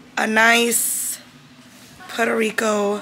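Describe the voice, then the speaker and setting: Music plays in the background. A woman is speaking. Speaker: vlogger. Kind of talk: casual vlog chat. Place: home room. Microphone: phone near.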